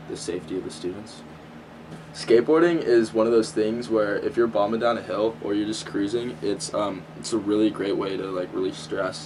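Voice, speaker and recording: A man speaks with an American accent at a moderate pace, his pitch fairly low. Noticeable background noise runs under the recording. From Southern California. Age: young. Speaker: college student. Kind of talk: interview. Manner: halting.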